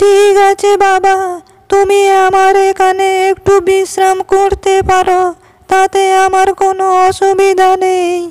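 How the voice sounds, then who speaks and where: A woman does a cartoonish character voice at an extremely high pitch. She speaks at a very slow pace with monotone, flat intonation. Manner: gentle, warm.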